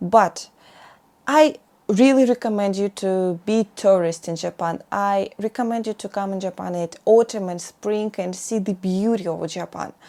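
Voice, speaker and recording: In a Russian accent, a woman speaks at a moderate pace with ordinary pitch variation and a dark, mellow tone. The recording is very clean, with a silent background. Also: medium pitch for a woman, big swings in loudness. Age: 20s. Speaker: vlogger. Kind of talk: casual monologue vlog. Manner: halting, many fillers.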